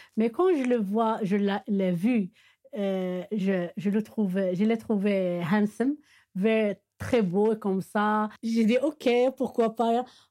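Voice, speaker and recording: On a very clean recording with a silent background, a woman with an Arabic accent speaks at a very slow pace in a dark, mellow tone, her pitch fairly high with ordinary variation and her loudness very even. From Morocco, Meknès. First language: Arabic (speaking French). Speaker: Arabic teacher. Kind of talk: interview testimony. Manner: halting, many hesitations.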